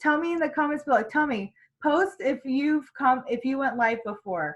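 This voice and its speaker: A loud, high-pitched woman's voice with lively intonation at a moderate pace. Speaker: sales team trainer. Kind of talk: training session.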